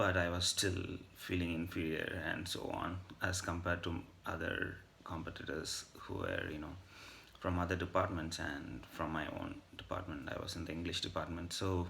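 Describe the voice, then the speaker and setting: Audible room echo surrounds a man whose very deep, low voice stays monotone with flat intonation. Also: moderate pace. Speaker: vlogger. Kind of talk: casual monologue. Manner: hesitant with fillers.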